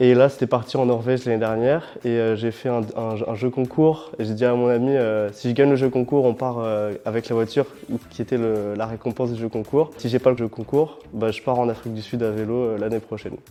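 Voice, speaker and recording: A man at medium pitch, fairly even in intonation and fairly quick in pace, over noticeable background noise. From France, Paris region (Saint-Germain-en-Laye). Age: 20s. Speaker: student and long-distance cyclist. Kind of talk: interview testimony. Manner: hesitant, many fillers.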